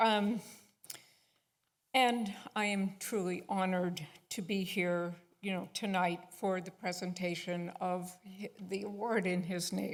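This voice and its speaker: A woman with an American accent speaks at a fairly slow pace in a flat monotone, with long, frequent pauses and audible echo in the room. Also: medium pitch for a woman. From Buffalo, New York. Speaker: daughter of award namesake. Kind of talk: speech to congregation.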